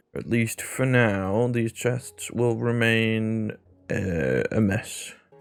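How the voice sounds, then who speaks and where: A mumbling man at a medium pitch. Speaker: gaming YouTuber. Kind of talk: casual gameplay commentary.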